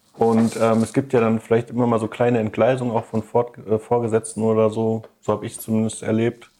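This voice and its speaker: A man speaks with a medium pitch. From Ruhr area, Germany (Duisburg). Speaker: podcast co-host. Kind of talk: casual chat.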